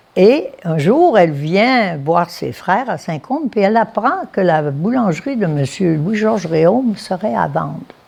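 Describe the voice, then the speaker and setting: Speaking fairly slowly, a woman lets her pitch swing very widely. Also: medium pitch for a woman, hardly any pauses. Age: 90s. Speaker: family business elder. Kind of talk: oral history interview. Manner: hesitant, with fillers.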